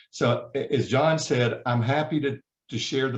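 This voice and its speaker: A somewhat breathy man with a Southern US accent, at a moderate pace and with fairly even intonation. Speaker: HR certification trainer. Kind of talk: webinar presentation. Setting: video call.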